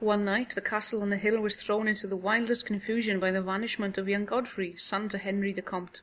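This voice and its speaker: A woman with a Welsh accent talks at a fairly quick pace with hardly any pauses. Her medium-pitched intonation is monotone and flat. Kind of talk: audiobook horror story reading. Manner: soft, easy listening.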